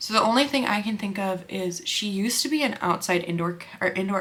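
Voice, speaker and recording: Noticeable background noise beneath a woman's fairly quick speech. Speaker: makeup artist and beauty vlogger. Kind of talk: casual chat while doing makeup. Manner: fast; animated.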